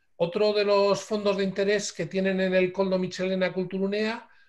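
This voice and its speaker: Against a quiet background, a man talks in a high-pitched voice. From Bilbao, Basque Country, Spain. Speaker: lecturer on photographic heritage. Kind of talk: online lecture. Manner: hesitant fillers.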